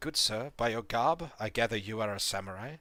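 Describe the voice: It is plain reading aloud. The intonation is lively.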